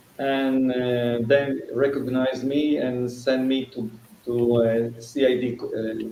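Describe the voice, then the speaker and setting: A man holds a monotone, flat intonation at a medium pitch while noticeable background noise runs underneath. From Israel. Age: 60s. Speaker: fire case attorney and fire investigator. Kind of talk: interview. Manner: halting.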